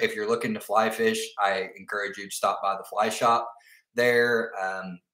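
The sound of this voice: With audible room echo, a man talks at a moderate pace in a fairly low pitch, fairly even intonation and a bright, sharp tone.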